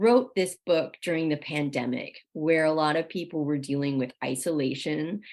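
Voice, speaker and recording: At a moderate speed, a woman talks in a plain, everyday voice pitched fairly low. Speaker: podcast host. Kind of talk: casual interview chat.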